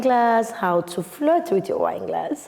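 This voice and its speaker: Fairly slow speech from a woman in a Nigerian accent. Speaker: wine entrepreneur. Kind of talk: interview answer.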